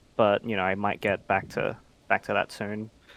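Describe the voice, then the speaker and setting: The speaker has an Australian accent and a moderate pace. The sound is dry and close, with no echo. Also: man. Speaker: online game player. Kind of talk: casual interview chat.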